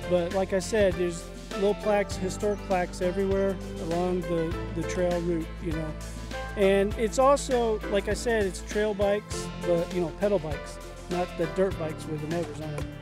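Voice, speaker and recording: Clear music plays in the background while a man speaks. His moderate-paced voice sounds dry, with no echo. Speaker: hiker vlogger. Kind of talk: casual vlog chat. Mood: relaxed, upbeat. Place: open country. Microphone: phone near.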